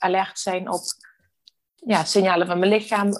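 This woman's speech comes at a fairly slow pace and a medium pitch. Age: 40s. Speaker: balance coach. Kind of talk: interview. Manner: hesitant, many filler sounds.

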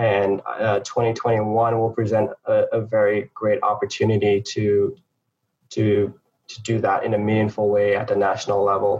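This man talks in a fairly low pitch with an American accent. His delivery is monotone and flat, and somewhat breathy. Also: moderate pace. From St. Lucia, then Harlem, New York. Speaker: entrepreneur, former trader. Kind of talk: interview. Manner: halting, many fillers.

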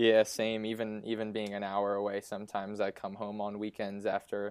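A man with an American accent speaks at a moderate pace in a fairly low pitch, his intonation monotone and flat. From eastern Pennsylvania (Easton). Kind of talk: interview. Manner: hesitant, many fillers.

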